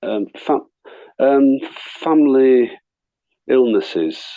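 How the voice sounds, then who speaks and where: A man is talking. He has a Yorkshire accent. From northern England, Leeds. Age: 60s. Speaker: actor and artist. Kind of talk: interview chat. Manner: halting, many repetitions.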